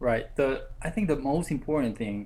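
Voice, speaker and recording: The voice has a dark, mellow tone and a Korean accent. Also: man. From South Korea. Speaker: graduate student. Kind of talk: academic presentation. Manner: halting.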